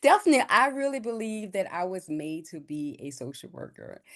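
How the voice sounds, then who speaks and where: A woman with a New Orleans accent at a moderate pace against a quiet background. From New Orleans, Lower Ninth Ward. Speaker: social worker and business owner. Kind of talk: podcast interview.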